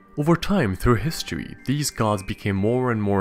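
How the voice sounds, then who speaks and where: Music plays behind a man with a medium pitch. He talks at a fairly quick pace with very wide pitch swings. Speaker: mythology video narrator. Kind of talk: educational narration to camera.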